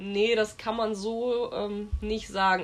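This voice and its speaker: Fairly even intonation in a normal speaking voice. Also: woman. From Westerwald, western Germany. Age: 30s. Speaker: horse trainer. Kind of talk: interview.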